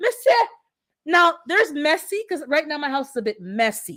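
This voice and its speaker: A woman speaks in an animated tone. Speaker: livestream host, landlord. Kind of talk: casual livestream chat.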